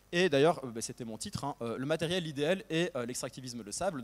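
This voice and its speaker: A man with a fairly high pitch talks at a fairly quick pace with lively intonation, in a very clean recording with a silent background. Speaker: historian, postdoctoral researcher. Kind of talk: academic talk. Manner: fast; hesitant, many fillers.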